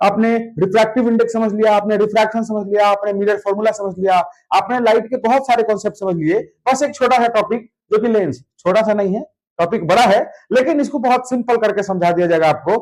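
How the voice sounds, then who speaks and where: Speaking at a fairly slow pace, a man uses a high pitch and an animated tone. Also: ordinary pitch variation. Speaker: physics teacher. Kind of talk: lecture.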